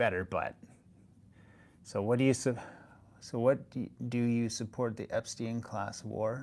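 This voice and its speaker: Speaking at a fairly slow pace, a man with a Canadian accent keeps a medium pitch. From Canada. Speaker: energy sector commentator. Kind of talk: livestream commentary. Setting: livestream. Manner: hesitant, many fillers.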